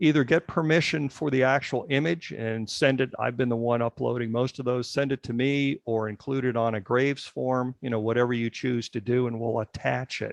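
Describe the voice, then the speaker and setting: The delivery is fairly quick with hardly any pauses, in a normal speaking voice with fairly even intonation. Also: man, medium pitch for a man. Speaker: genealogy committee leader. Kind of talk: tutorial during an online meeting.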